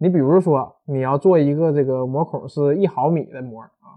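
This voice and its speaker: A man with a northeastern Chinese accent talks in an animated tone with ordinary pitch variation. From Northeast China. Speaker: university lecturer, materials scientist. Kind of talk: popular science talk. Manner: animated, colloquial.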